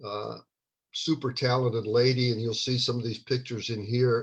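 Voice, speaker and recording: Speaking at a fairly quick pace, a man delivers his words in a flat monotone. His voice is somewhat breathy against a quiet background. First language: not English (English is his third language). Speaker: children's book author. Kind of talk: casual talk before a live book reading. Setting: live video stream. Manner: hesitant, many fillers.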